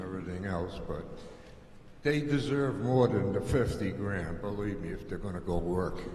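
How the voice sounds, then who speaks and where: Amid noticeable background noise and audible room echo, a man talks at a moderate pace in a fairly low voice with lively intonation. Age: 80s+. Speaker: resident speaking at town meeting. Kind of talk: public meeting comment. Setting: auditorium with audience.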